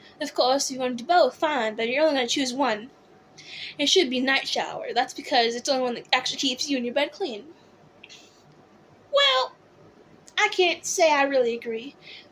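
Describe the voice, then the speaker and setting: At a fairly quick pace broken by long, frequent pauses, the speaker uses an American accent with ordinary pitch variation over noticeable background noise. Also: woman. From California. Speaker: drag performer, YouTuber. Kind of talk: reading aloud with commentary. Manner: animated, camp.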